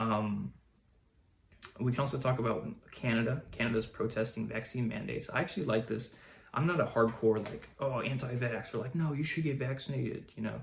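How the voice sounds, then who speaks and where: A man's medium-pitched voice, fairly quick in pace, with ordinary pitch variation. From US, Chicago. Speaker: podcaster, current affairs commentator. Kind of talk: solo podcast monologue. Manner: halting, many fillers.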